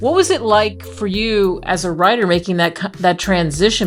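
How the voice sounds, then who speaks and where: A woman speaks at medium pitch. Music plays in the background. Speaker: radio host. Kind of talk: radio talk show host.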